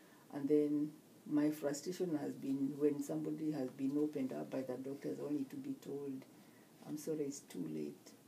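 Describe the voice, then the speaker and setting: The woman speaks with a Kenyan accent. Her pace is moderate. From Kenya (Murang'a, Kikuyu). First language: Kikuyu. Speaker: nurse. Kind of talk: interview. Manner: halting.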